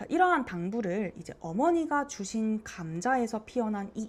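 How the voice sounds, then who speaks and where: A woman speaks at a fairly high pitch, somewhat breathy. Her pitch swings very widely. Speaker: teacher. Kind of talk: lecture. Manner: slurring as the single take goes on.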